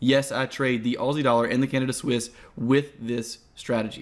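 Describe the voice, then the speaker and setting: This man's voice sits at a medium pitch. The recording is very clean with a silent background. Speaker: trading course instructor. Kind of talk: tutorial. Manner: fast.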